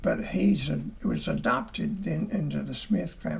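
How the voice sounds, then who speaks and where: A man in a Southern US accent at a very slow pace, with audible room echo. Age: 80s+. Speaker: church elder. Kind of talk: testimony. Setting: parsonage livestream. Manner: halting.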